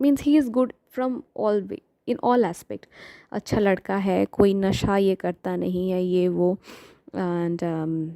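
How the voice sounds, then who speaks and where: A woman with a Bengali accent speaks at medium pitch in a dark, mellow tone. The recording is very clean, with a silent background and a dry, close sound with no echo. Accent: Bengali-accented Hindi. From Bengal, India. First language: Bengali (speaking Hindi). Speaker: devotional storyteller. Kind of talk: story retelling. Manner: hesitant, many fillers; Hindi-English code-switching.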